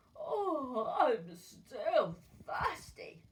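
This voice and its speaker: A woman speaks in a put-on character voice. Her pitch is extremely high. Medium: read story. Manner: sly, sweetly menacing.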